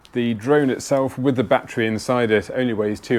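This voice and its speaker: A man is speaking. He has a British accent. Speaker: outdoors vlogger. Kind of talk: gear tutorial. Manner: fast.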